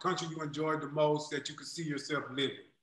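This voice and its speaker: A man with a fairly high pitch talks at a fairly quick pace. The background is quiet, though room echo is audible. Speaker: podcast host. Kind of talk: casual chat. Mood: friendly, joking. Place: home room. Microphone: video call.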